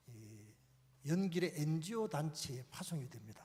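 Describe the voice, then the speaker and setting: A man with a fairly high voice speaks at a fairly slow pace. His intonation is lively. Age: 60s. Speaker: pastor. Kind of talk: conference talk.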